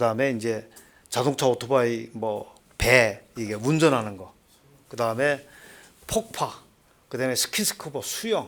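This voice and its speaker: Using a Seoul accent, a man talks at a fairly slow pace with a medium pitch and ordinary pitch variation. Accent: Seoul accent, learned. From North Korea, Hwanghae Province. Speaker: former North Korean agent, North Korea studies lecturer. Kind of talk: lecture.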